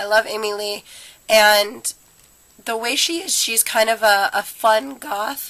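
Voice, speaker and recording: Her voice is fairly high for a woman, with a bright, sharp tone. She shows ordinary pitch variation. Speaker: beauty vlogger. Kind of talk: makeup tutorial. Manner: casual, many fillers.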